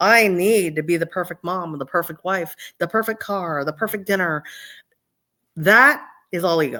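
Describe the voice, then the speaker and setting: At a moderate pace, a woman with a plain, everyday voice speaks fairly low, with ordinary pitch variation, in a very clean recording with a silent background. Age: 60s. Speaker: medium. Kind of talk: casual chat.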